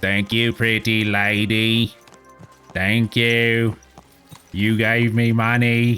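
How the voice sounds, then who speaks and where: With faint music behind him, a man does a put-on character voice at a medium pitch, monotone and very evenly loud, very slow with long, frequent pauses. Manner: hammy, thankful.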